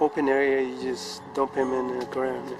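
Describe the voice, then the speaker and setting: Music sits behind the speaker. He is a man talking at a fairly slow pace. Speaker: home gardener. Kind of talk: casual talk to camera. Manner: hesitant, stuttering.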